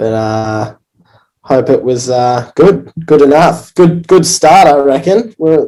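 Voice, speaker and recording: With an Australian accent, a man talks at a very slow pace in a fairly high pitch and a dark, mellow tone. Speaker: pro surfer. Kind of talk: live stream interview. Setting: in quarantine, remote. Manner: halting.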